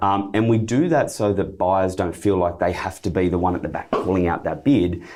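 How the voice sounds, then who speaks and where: Very deep and low, a man's voice comes at a moderate pace with hardly any pauses. His pitch variation is ordinary, and noticeable background noise is present. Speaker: property auctioneer and real estate director. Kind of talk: podcast interview answer.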